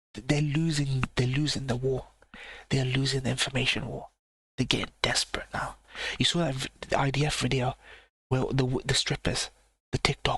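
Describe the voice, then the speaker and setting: A man whispers at a moderate pace with long, frequent pauses, and the sound is dry and close with no echo. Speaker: live reaction streamer. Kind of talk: live stream reaction commentary. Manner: whispering, keeping voice down.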